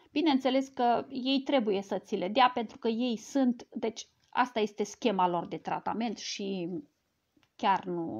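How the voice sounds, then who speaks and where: Against a quiet background, a woman with a fairly high pitch talks at a fairly slow pace, her intonation lively. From Romania. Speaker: cancer survivor sharing personal health story. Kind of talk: live stream talk to a group; casual vlog chat. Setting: live video stream. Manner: halting, with many fillers. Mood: earnest, explanatory. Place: home room. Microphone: earbuds.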